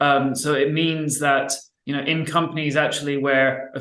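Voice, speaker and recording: In a room with audible echo, a man speaks in a monotone, flat delivery. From UK/Ireland. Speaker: workplace climate organizing expert. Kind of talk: panel discussion. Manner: stammering, many repetitions.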